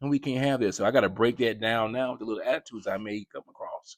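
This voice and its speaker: A man speaks in an animated tone with ordinary pitch variation. The sound is dry and close with no echo, on a very clean recording with a silent background. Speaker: parenting podcast host, father. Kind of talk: casual monologue.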